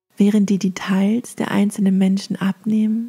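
A woman's medium-pitched voice comes across somewhat breathy, dark and mellow, with a calm, soothing tone and monotone, flat intonation, in a dry, close sound with no echo. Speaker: meditation guide. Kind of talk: guided meditation. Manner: calm, slow, soothing.

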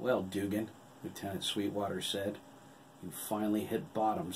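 The voice sounds natural. It reads a text aloud.

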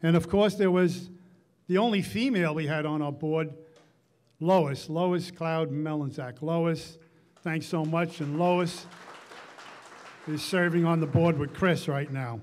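A man speaks at a fairly slow pace, his pitch fairly high and varying in an ordinary way. His tone is slightly mellow.

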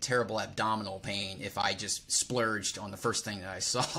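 Speaking at a fairly quick pace, a man uses a fairly low pitch and fairly even intonation. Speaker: personal trainer, podcast host. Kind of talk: podcast interview. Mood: relaxed, friendly. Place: home room. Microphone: studio mic.

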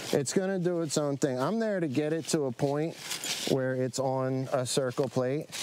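With an American accent, a man talks at a fairly high pitch and a moderate pace, with ordinary pitch variation. There is noticeable background noise. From South Jersey, US (Medford). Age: 40s. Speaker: chef and restaurant owner. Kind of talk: casual interview. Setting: outdoors in the woods.

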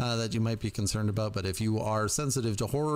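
The clip features plain reading aloud.

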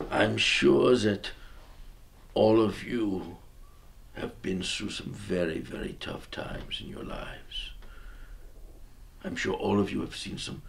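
A raspy, put-on character voice from a man, at a fairly slow pace with long, frequent pauses and clear background noise. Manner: rambling, pleading, rising to fervor.

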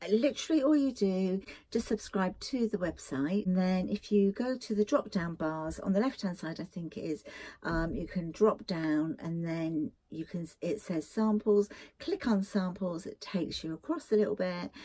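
Lively intonation from a woman with a dark, mellow tone, at a moderate pace against a quiet background. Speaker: beauty vlogger. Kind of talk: casual vlog chat. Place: home room. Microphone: phone near.

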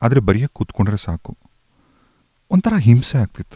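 Music plays in the background while a man speaks. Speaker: radio host. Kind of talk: emotional reading of a listener's love letter on radio.

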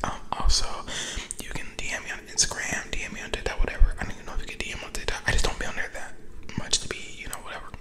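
A man whispers at a very fast pace. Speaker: ASMR creator. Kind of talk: casual vlog chat. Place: car. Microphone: studio mic.

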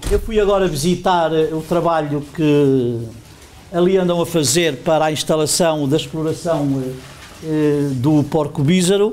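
A man's fairly high voice at a fairly slow pace, with ordinary pitch variation, long and frequent pauses, and light background noise. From Barroso region, northern Portugal. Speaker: local politician. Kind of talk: informal speech at a festival. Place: hall.

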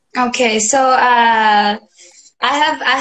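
The intonation stays fairly even. The background is quiet. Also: woman. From South Africa. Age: young. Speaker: singer-songwriter. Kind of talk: interview answer. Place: home room. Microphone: video call.

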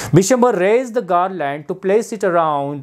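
Lively intonation stands out against a quiet background. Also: man. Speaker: English teacher. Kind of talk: lecture. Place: classroom. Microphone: lapel.

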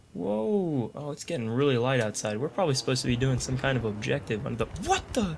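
With lively intonation and a somewhat breathy sound, a man speaks fairly quickly. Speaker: gaming YouTuber. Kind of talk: gameplay commentary. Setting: home recording with microphone. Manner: animated.

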